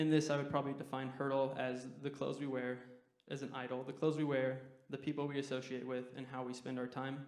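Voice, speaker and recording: A man with an American accent at a medium pitch, very fast and monotone, with flat intonation and audible room echo. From Utah. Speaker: guest preacher, university student. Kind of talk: sermon.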